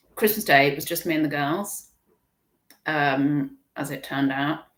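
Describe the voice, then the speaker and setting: A woman with an English accent, her pitch very deep and low, with ordinary pitch variation and a fairly slow pace. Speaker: online reseller livestream host. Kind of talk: casual livestream chat. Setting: live stream. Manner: chatty, rambling with restarts.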